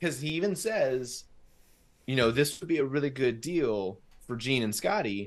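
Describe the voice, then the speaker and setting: In an ordinary speaking voice, a man with an American accent talks at a moderate pace and medium pitch, with lively intonation. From Southern California. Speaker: podcast host. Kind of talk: casual chat.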